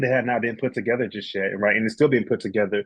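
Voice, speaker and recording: This is a man talking. His intonation is fairly even. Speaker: licensed professional counselor. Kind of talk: Q&A answers in a webinar. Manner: fast; halting, many fillers.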